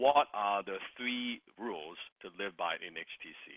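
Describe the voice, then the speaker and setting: A man with a Cantonese accent and a medium pitch. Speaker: sales coaching program host. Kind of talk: online group coaching call.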